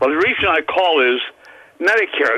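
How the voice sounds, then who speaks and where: There is noticeable background noise behind this man, whose pitch sits fairly high for a man. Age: 70s. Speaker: caller. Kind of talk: radio call-in. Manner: halting, stammering.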